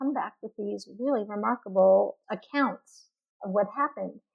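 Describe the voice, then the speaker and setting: A woman with a plain, everyday voice talks fairly slowly and fairly high, her pitch varying in an ordinary way. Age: 60s. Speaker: linguist and author. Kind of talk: interview. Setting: podcast interview.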